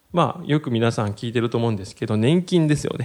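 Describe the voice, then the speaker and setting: The speaker's pitch swings very widely. The pace is fairly quick. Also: man. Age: 30s. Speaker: podcast host on personal finance. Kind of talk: solo educational talk. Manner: many filler words.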